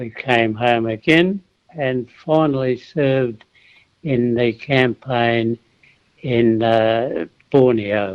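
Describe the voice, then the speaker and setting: Speaking at a very slow pace, a man has an Australian accent. His voice sits at a medium pitch. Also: ordinary pitch variation. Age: 80s+. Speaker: war veteran. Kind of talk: radio interview answer.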